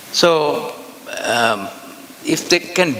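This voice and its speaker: A man speaks in an Indian accent with ordinary pitch variation. Noticeable background noise can be heard. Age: 80s+. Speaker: nuclear energy expert. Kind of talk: conference talk.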